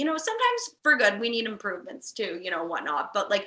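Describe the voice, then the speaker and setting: The woman's delivery moves at a fairly quick pace. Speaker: podcast host. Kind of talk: casual chat. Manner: loud.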